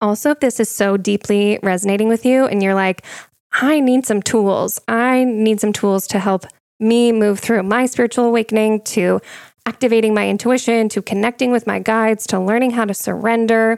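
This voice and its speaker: A woman's fairly high voice at a moderate pace, with very even loudness and dry, close sound free of echo. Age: 30s. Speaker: spiritual podcast host and psychic medium. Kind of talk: casual solo monologue. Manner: animated.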